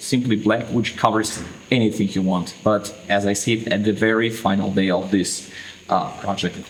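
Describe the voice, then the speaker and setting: A man talks with a non-native accent and fairly even intonation. Noticeable background noise is present. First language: not English. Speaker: tattoo artist. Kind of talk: tutorial. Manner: hesitant, with fillers.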